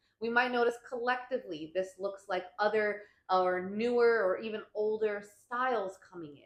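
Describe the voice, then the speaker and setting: Ordinary pitch variation in a woman's voice. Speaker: astrologer. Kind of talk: weekly forecast monologue. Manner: mumbling; casual, filler-heavy.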